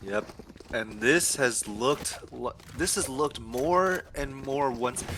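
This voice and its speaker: Over noticeable background noise, a man speaks very slowly at a medium pitch with ordinary pitch variation. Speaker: esports caster. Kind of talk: live commentary. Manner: animated.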